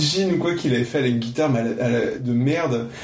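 A man speaks fairly quickly with ordinary pitch variation as noticeable noise carries on behind him. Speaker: podcast host. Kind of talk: casual interview.

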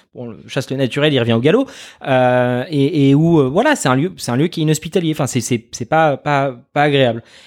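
This man talks fairly quickly, and his pitch is fairly high. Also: ordinary pitch variation, very clean recording, silent background. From France, Paris region (Yvelines). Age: 20s. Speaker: media founder and communications director. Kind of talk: interview. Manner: hesitant, many fillers and repetitions.

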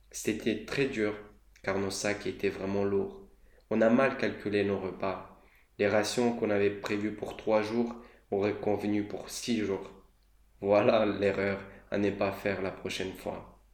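Speaking at a very slow pace with long, frequent pauses, a man uses a fairly low pitch and monotone, flat intonation amid audible room echo. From Moldova. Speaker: student podcaster. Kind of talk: scripted monologue.

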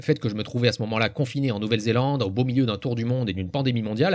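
A man at a very fast pace, medium pitch and ordinary pitch variation. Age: 40s. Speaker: podcaster. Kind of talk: scripted monologue.

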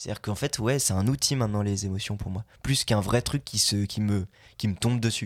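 A man speaks in a normal speaking voice, fairly low in pitch and fairly quick, with fairly even intonation. The recording is very clean, with a silent background. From Belgium. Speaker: voice actor. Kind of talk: casual chat.

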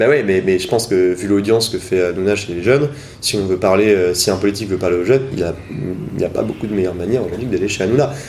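A man's fairly low voice rushes along at a very fast pace against noticeable background noise. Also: ordinary pitch variation. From Brittany, France. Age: 20s. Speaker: youth political organizer. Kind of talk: interview. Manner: hesitant, many fillers.

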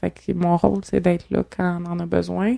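A woman's unremarkable speaking voice at medium pitch, delivered at a fairly slow pace. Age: 20s. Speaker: organ donor and activist. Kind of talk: casual chat.

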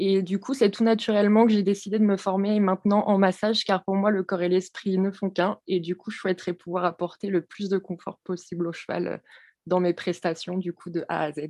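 A woman's dark, mellow voice, fairly quick and monotone, with a dry, close sound and a quiet background. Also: medium pitch for a woman. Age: 20s. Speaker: equine behaviourist and horse masseuse. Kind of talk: podcast interview.

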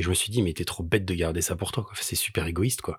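This is a man's voice. It sounds somewhat breathy. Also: very clean recording, silent background. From Paris. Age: 40s. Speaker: charity association president and musician. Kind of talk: casual interview chat.

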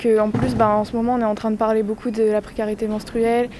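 Noticeable background noise sits behind a woman's fairly high-pitched voice. She talks at a fairly quick pace in a monotone, flat intonation. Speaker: student. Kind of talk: vox pop interview.

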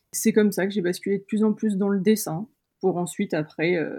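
A somewhat breathy woman with a dark, mellow tone, ordinary pitch variation and a fairly quick pace. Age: 30s. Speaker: illustrator. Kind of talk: interview. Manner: hesitant, many fillers.

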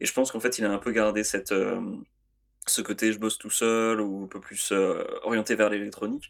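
In a very clean recording with a silent background, a man speaks fairly quickly with a fairly low pitch and monotone, flat intonation. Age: 40s. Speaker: music podcast co-host. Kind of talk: casual chat. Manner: hesitant, many fillers.

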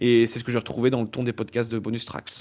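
The man speaks at a medium pitch. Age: 30s. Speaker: podcaster. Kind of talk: casual chat.

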